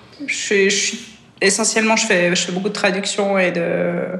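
The voice stays monotone and flat while noticeable background noise and audible room echo fill the recording. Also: woman. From Switzerland. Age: 30s. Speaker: triathlete. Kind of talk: casual chat.

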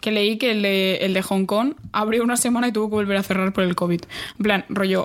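Over noticeable background noise, a woman talks at a fairly quick pace and medium pitch with very even loudness. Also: fairly even intonation. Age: young. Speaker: podcast co-host. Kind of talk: casual chat. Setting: studio, recording in person.

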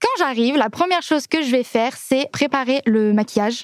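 A woman speaks at a fairly quick pace in a high, animated voice with ordinary pitch variation. The sound is dry and close, with no echo. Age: 20s. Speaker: singer. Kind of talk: casual chat.

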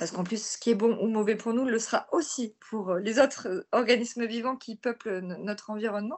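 Pitched fairly high, a woman speaks in a plain, everyday voice with ordinary pitch variation. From southern France (near Marseille). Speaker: author and environmental activist. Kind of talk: interview.

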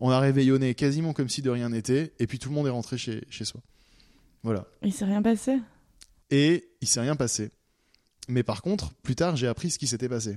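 The speaker talks at a moderate pace with lively intonation. Long pauses come often. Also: man, medium pitch for a man. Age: 20s. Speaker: anonymous storyteller. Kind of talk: personal testimony. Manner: halting, with fillers and repetitions.

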